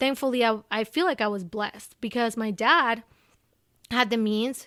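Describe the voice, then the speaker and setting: A woman's fairly high, bright, sharp voice with ordinary pitch variation at a moderate pace, in a very clean recording with a silent background. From Ecuador. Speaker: diversity advocate. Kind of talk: interview conversation. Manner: animated.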